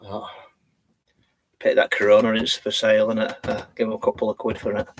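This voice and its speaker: A man with a Yorkshire accent talks at a fairly quick pace in a dry, close sound with no echo. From Yorkshire, England (born in Leeds). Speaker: vlogger. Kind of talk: live stream chat. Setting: in a campervan. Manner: halting, many fillers.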